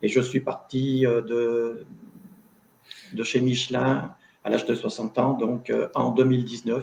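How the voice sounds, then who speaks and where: Very slow pace and long, frequent pauses from a man, medium pitch, fairly even intonation. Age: 60s. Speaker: retired factory worker and author. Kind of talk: panel discussion in a video conference. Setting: video conference.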